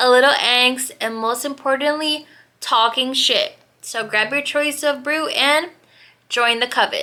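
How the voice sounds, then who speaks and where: Raised and projected, a woman's high-pitched voice has a bright, sharp tone. She speaks at a fairly slow pace. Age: 20s. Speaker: podcast host. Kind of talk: casual chat. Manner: casual, rambling with fillers.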